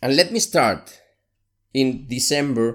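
A man with a Spanish accent and a medium pitch, very slow in pace and lively in intonation, in a very clean recording with a silent background. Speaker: podcast host, solopreneur. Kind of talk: solo monologue, personal podcast episode.

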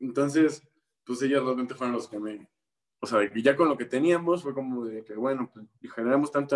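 A man speaks in a Mexican accent at a medium pitch. His pace is moderate and his pitch varies in an ordinary way. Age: 20s. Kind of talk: interview. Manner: hesitant, many fillers.

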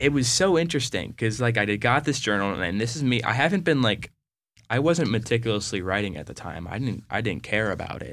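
A man with a plain, everyday voice, lively intonation and a fairly quick pace, on a very clean recording with a silent background. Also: medium pitch for a man. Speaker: college student. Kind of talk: casual chat.

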